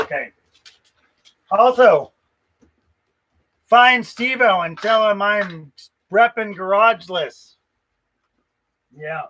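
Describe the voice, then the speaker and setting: Very slowly and with long, frequent pauses, a man projects a raised, high, bright and sharp voice with lively intonation and big swings in loudness. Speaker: car restoration youtuber. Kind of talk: casual livestream chat. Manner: stutters, hesitant fillers.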